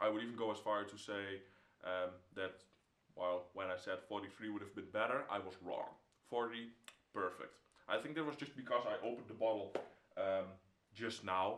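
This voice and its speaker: A man with a Dutch accent speaks at a fairly low pitch with ordinary pitch variation. He leaves long, frequent pauses, and there is noticeable background noise. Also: moderate pace. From Netherlands. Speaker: whisky reviewer. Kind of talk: product review. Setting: home room. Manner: halting, with many fillers. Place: home room.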